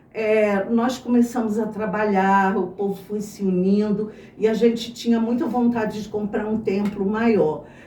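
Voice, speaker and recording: Through noticeable background noise and audible room echo, a woman speaks at a fairly slow pace and fairly high pitch with fairly even intonation. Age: 60s. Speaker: church member, former teacher. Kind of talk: testimony.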